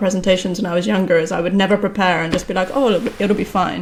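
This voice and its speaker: Fairly even intonation from a woman at medium pitch, with noticeable background noise. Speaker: software engineer and book co-author. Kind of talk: casual chat.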